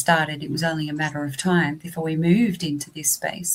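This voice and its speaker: A woman with an Australian accent speaks fairly quickly in a fairly low, somewhat breathy voice. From southeast Australia. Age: 50s. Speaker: vocational college teacher. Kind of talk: interview.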